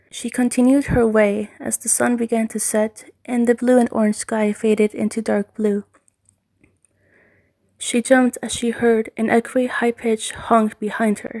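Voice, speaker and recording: A quiet woman's voice, fairly high-pitched, with a dark, mellow tone, monotone, flat intonation, a moderate pace, and a dry, close sound with no echo. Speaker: amateur fan fiction writer and reader. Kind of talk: read horror story.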